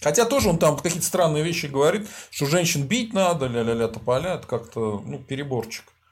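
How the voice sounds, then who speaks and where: Fairly high in pitch, a man speaks somewhat breathily. He moves at a fairly quick pace with very wide pitch swings. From Volga region, Russia. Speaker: sociologist hosting a stream. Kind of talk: casual live-stream interview.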